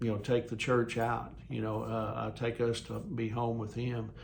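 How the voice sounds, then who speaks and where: In a room with audible echo, a man talks at a moderate pace and medium pitch with fairly even intonation. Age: 60s. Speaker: lay preacher. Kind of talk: devotional talk. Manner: halting, many fillers.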